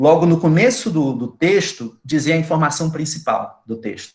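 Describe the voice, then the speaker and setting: Somewhat breathy and fairly high in pitch, a man talks at a moderate pace. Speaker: university lecturer. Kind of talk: lecture. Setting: video call.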